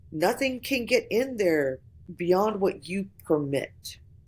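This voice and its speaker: A woman with a slight Southern US accent speaks in an animated tone with lively intonation. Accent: slight southern vowels. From Florida, US South. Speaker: voice actor. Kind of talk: casual podcast conversation.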